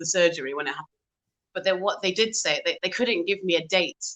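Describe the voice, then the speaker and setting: A woman with a British accent speaks very fast in a medium pitch with a bright, sharp tone. Her intonation is lively, and the sound is dry and close with no echo. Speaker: singer and pianist. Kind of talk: interview.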